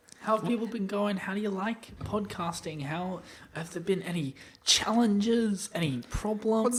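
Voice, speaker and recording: A put-on character voice, female-sounding and nasal, at medium pitch and a moderate pace, with a tired tone. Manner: exaggerated, tired.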